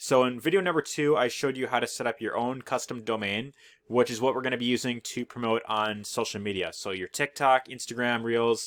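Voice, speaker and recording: Speaking at a fairly quick pace with hardly any pauses, a man at medium pitch shows ordinary pitch variation. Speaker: affiliate marketing YouTuber. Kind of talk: tutorial. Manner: fast; casual with many fillers.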